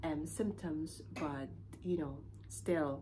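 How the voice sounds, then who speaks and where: The pace is very slow. Light background noise can be heard. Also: woman. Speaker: vlogger. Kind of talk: casual vlog chat. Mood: calm, slightly concerned. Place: home room. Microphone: phone near.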